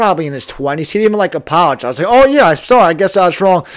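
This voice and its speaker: A man's high-pitched, very fast speech with an American accent. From New Jersey. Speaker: podcaster. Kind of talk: casual monologue.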